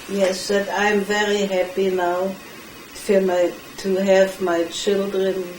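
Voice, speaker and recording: A woman with a German accent speaks at a medium pitch in monotone, flat intonation. Audible room echo and noticeable background noise fill the recording. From Germany. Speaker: Holocaust survivor. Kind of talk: interview. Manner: halting.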